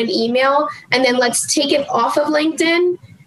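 The speaker has an American accent and a moderate pace. Noticeable background noise sits behind the voice. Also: woman. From New Jersey. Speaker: business development executive. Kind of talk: casual chat. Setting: studio.

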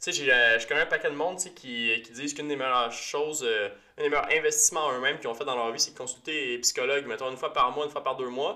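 At a very fast pace, a man with a Quebec accent speaks in a fairly high pitch over noticeable background noise. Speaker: podcast host, physiotherapist. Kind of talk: casual chat. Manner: animated.

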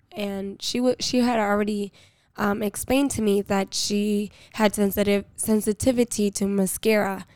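At a moderate pace, a woman talks at medium pitch with monotone, flat intonation. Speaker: eyelash technician and podcast co-host. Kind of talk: casual chat.

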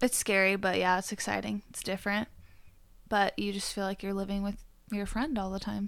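A plain, everyday voice from a woman at a medium pitch, fairly quick and fairly even in intonation, on a very clean recording with a silent background. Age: 20s. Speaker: waxing specialist. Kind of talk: casual chat. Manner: frequent laughter.

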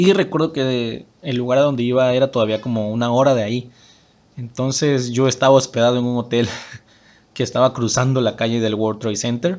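Ordinary pitch variation runs through a man's normal speaking voice at medium pitch. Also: fairly quick pace. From Mexico, Tabasco (Huimanguillo). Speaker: podcast host, personal development coach. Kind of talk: motivational talk.

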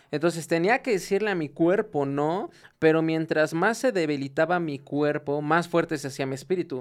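A man speaks in a fairly high pitch with a plain, everyday voice, recorded very cleanly over a silent background. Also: ordinary pitch variation, moderate pace. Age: 20s. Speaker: industrial engineer and small business owner. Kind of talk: casual faith-based podcast chat.

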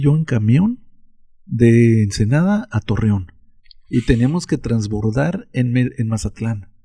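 A man with a somewhat breathy, dark, mellow tone, medium pitch, lively intonation and very slow pace. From Mexico. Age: 60s. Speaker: interviewee recounting childhood. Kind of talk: casual chat.

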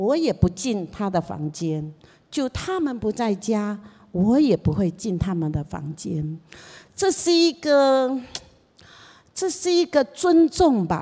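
A woman's medium-pitched voice at a very slow pace, with very wide pitch swings and long, frequent pauses. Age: old. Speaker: seminary dean and pastor's mother. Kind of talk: casual talk to a church congregation.

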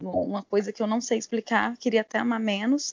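A woman speaks in a normal speaking voice, pitched fairly high and with fairly even intonation. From Goiânia, Brazil. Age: 30s. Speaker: military firefighter and travel influencer. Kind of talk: casual interview.

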